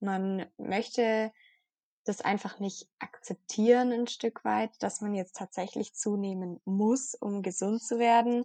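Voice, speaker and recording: Very slowly, a woman of medium pitch speaks in a dark, mellow tone, the sound dry and close with no echo and the background quiet. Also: fairly even intonation. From southwestern Germany, near Stuttgart. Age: 20s. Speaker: blogger on eating disorder recovery. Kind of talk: interview, personal testimony. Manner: hesitant with frequent fillers.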